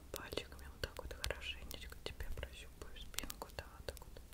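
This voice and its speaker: The pace is fairly slow. The speaker is a woman. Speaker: ASMR creator. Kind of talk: ASMR massage roleplay. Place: home room. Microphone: studio mic.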